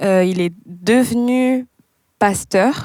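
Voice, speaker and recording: A woman's voice with ordinary pitch variation. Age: 20s. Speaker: pastor's child. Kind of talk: casual chat.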